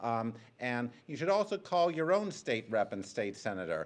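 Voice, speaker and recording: The speaker uses lively intonation and a moderate pace in a Rhode Island accent. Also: man. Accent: New England (Rhode Island). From Rhode Island, Providence. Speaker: public commenter, bus rider activist. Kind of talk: public hearing testimony. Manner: hesitant, frequent filler ums.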